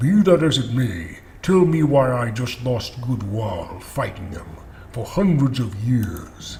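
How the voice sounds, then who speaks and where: Using a put-on character voice at medium pitch, a man talks at a fairly slow pace over clear background noise. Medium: game stream. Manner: grim, blunt.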